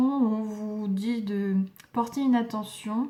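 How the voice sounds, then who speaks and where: Her intonation fairly even, a woman speaks with a fairly high pitch. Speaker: tarot reader. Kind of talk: tarot reading. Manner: hesitant, many fillers.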